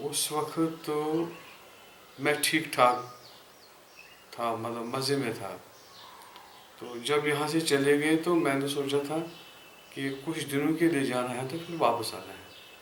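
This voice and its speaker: Man with long, frequent pauses and big swings in loudness, over noticeable background noise. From Kashmir, India. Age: 40s. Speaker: businessman and priest. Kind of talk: oral history interview answer.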